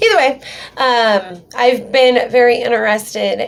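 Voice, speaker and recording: With an American accent, a woman speaks over noticeable background noise. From US Pacific Northwest (Western Washington). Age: 30s. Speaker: YouTuber, witch. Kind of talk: personal vlog storytelling. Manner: casual, many fillers (um).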